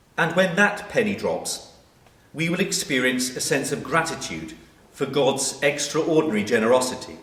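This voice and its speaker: With lively intonation and a fairly high voice, a man speaks at a moderate pace over noticeable background noise. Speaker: vicar giving a sermon. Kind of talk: church sermon.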